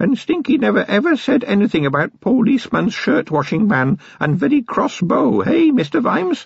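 A hoarse, whispered put-on character voice goes at a moderate pace. It has hardly any pauses. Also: man. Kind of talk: broken, halting grammar. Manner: whispering, furtive, pleading.

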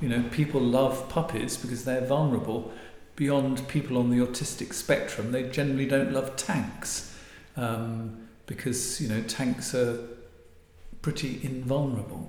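Against audible room echo, a man with an English accent talks at a fairly slow pace and medium pitch, his intonation fairly even. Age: 60s. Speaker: marital therapist and author. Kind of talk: interview.

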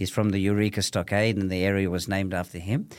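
A man talks fairly quickly on a very clean recording against a silent background. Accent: Australian. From Australia, Melbourne (Thomastown). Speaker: businessman. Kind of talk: casual chat.

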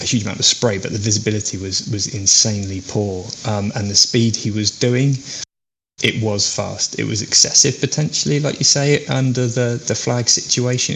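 In an English accent, a man speaks at a moderate pace with medium pitch, ordinary pitch variation and a somewhat breathy quality. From English Midlands. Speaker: racing driver. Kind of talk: casual chat.

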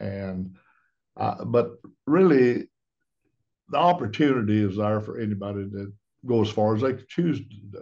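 This man talks at a fairly slow pace with a Southern US accent, leaving long, frequent pauses. His pitch sits fairly low with ordinary variation, while his loudness swings widely. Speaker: branch manager, plumbing contractor. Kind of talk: interview. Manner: halting.

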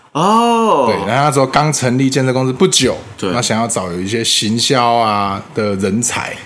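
Audible room echo surrounds a man speaking at a moderate pace in a medium pitch. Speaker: club founding president, former voice actor. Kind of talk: interview.

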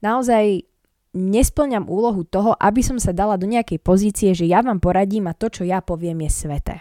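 Heard on a very clean recording with a silent background, a woman speaks at a moderate pace and medium pitch, her dark, mellow tone dry and close with no echo and her pitch varying in an ordinary way. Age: 20s. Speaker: podcaster. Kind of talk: casual monologue. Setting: at home, in a room.

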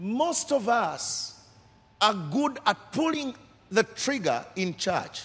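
A man talks at a very slow pace and a high pitch. His pitch swings are very wide. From Uganda. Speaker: pastor. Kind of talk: sermon. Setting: church service. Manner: passionate.

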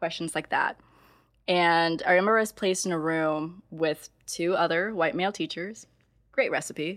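Recorded very cleanly over a silent background, a woman has an ordinary speaking voice. Her pitch is fairly low, with ordinary variation, at a moderate pace. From US Midwest. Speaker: podcast host, teacher. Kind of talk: casual chat.

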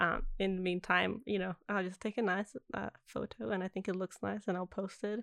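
A woman talks at a moderate pace with hardly any pauses, using a medium pitch, ordinary pitch variation and vocal fry, in a dry, close sound with no echo. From Italy. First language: Italian. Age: 20s. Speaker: actor. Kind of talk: casual chat.

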